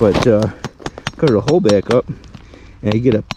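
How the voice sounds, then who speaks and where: Noticeable background noise surrounds a man speaking at a medium pitch. His intonation is lively and his pace moderate. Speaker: metal detecting vlogger. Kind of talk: casual vlog narration outdoors. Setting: outdoors in snow. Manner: casual, hesitant with fillers.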